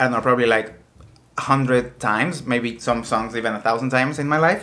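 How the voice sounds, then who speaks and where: A man speaks at a fairly quick pace with a non-native accent and ordinary pitch variation. Music plays in the background. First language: not English. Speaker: headphone reviewer. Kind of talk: product review. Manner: casual, halting with many fillers.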